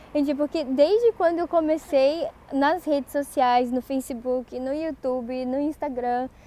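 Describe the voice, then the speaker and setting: Noticeable background noise runs under a woman whose pitch varies in an ordinary way. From Brazil, interior of Rio de Janeiro state. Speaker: Japanese language teacher. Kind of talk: online course presentation.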